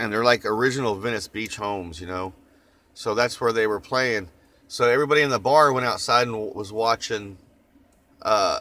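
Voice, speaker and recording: A man speaks in a medium pitch with a slight Oklahoma accent and ordinary pitch variation. His tone is bright and sharp, yet relaxed. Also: fairly quick pace. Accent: Oklahoma twang, slight. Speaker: vlogger. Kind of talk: casual chat. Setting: in a van. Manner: relaxed, rambling with fillers.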